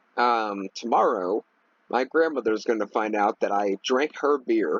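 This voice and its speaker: A man speaks in a medium pitch with ordinary pitch variation. His pace is very slow. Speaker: gaming youtuber. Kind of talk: casual gameplay commentary. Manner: rambling with many fillers.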